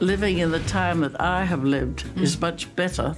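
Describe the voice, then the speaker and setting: A woman speaks at moderate speed with music playing behind her. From United Kingdom. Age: 80s+. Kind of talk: interview answer.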